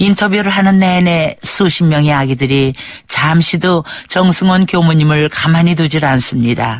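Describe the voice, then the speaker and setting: Speaking at a fairly slow pace, a woman with a fairly low pitch uses ordinary pitch variation and very even loudness in an ordinary speaking voice. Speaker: radio documentary narrator. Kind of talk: radio documentary narration.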